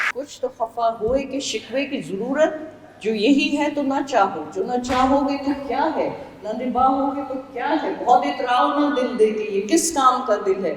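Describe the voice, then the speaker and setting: Against noticeable background noise, a woman talks at a high pitch with ordinary pitch variation. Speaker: oncologist. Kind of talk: poetry reading.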